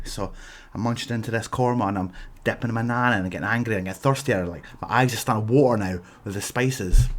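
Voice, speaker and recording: Speaking very fast with a Scottish accent, a man sounds animated. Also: medium pitch for a man, ordinary pitch variation. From Scotland. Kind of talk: comedic rant to camera. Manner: exaggerated, animated.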